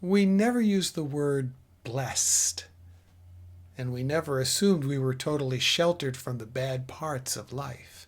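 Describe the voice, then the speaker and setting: A man talks at a moderate pace in a fairly high, somewhat breathy voice, with lively intonation. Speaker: spiritual teacher. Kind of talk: spiritual talk.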